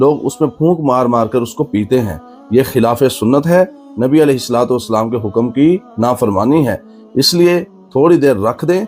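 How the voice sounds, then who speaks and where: With music playing in the background, a man talks at a medium pitch. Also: lively intonation. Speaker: Islamic preacher. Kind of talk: religious sermon (bayan).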